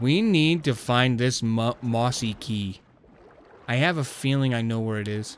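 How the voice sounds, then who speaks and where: This man has an ordinary speaking voice at medium pitch. He goes at a fairly slow pace with ordinary pitch variation. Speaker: gaming streamer. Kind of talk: gameplay commentary. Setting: live stream. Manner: casual, chatty.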